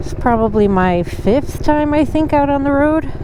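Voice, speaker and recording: A woman with a high pitch talks at a moderate pace with lively intonation over noticeable background noise. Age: 50s. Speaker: beginner motorcycle rider and hiker. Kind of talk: vlog narration to camera.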